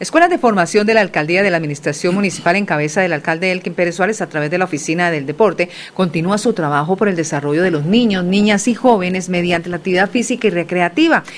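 A woman's medium-pitched voice at a very fast pace, with hardly any pauses and ordinary pitch variation. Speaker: radio news co-host. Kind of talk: news reading. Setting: studio.

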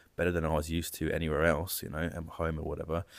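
Very deep, low-pitched man in a Jersey accent at a very fast pace, on a very clean recording with a silent background. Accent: British English, Jersey. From Jersey (Channel Islands). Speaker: AI and data consultant. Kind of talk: interview, personal story.

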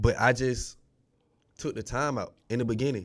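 Heard in a very clean recording with a silent background, a man with an American accent speaks at a medium pitch with ordinary pitch variation. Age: 20s. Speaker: DJ. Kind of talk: casual chat.

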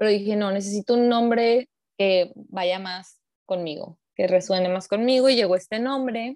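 A woman talks at a moderate pace with ordinary pitch variation in a normal speaking voice. The sound is dry and close, with no echo. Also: medium pitch for a woman. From Mexico, Hermosillo (Sonora). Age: 30s. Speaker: psychologist. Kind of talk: interview.

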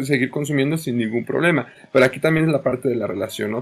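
The man's voice sits at a fairly high pitch and shows ordinary pitch variation. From Mexico. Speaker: nutritionist and high school teacher. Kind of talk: panel discussion. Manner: halting, many repetitions.

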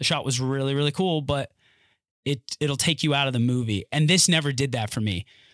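In an ordinary speaking voice pitched fairly high, a man talks at a moderate pace on a very clean recording with a silent background and a dry, close sound with no echo. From North Carolina. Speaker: actor. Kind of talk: casual chat. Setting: studio.

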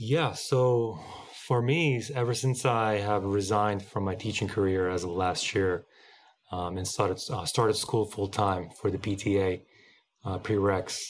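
A man talks in an ordinary speaking voice at a fairly low pitch and a fairly slow pace, with ordinary pitch variation. The recording is very clean, with a silent background. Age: 30s. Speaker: musician and former teacher. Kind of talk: casual interview.

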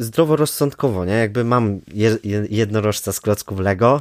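Recorded very cleanly against a silent background, a man speaks at a moderate pace and a fairly low pitch with lively intonation. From Poland, Kraków (Nowa Huta). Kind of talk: casual interview. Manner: hesitant with many fillers.

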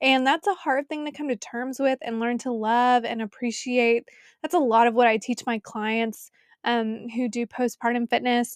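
A woman speaks high-pitched at a moderate pace, her intonation fairly even, on a very clean recording with a silent background and a dry, close sound with no echo. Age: 30s. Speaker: podcast host and personal trainer. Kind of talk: faith-based solo podcast talk.

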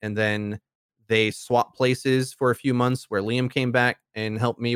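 A man's medium-pitched, monotone, flat voice with an American accent at a moderate pace, in a dry, close sound with no echo. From US Midwest, Milwaukee. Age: 20s. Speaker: YouTube content creator. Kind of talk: casual interview chat. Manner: straightforward.

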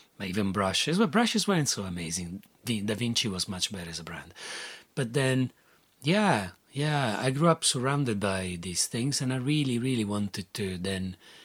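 A man speaks at a moderate pace with an Italian accent and lively intonation. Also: medium pitch for a man. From Italy. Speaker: artist. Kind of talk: interview. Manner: halting.

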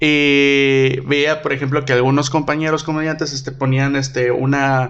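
A man's fairly high-pitched voice, monotone and flat, at a fairly slow pace. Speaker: podcast host and comedian. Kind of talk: casual chat.

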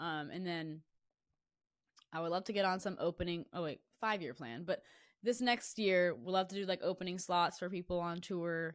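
A woman's fairly low pitch with ordinary variation at a moderate pace, on a very clean recording with a silent background. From Florida. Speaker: singer-songwriter. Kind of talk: casual interview.

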